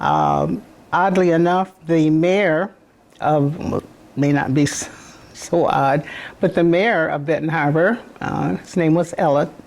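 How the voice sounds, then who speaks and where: Speaking with an American accent, a woman has a very deep, low pitch, ordinary pitch variation and a fairly slow pace with long, frequent pauses. Noticeable background noise is present. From southwest Michigan, US. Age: 90s. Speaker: retired educator and community figure. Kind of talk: oral history interview. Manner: halting.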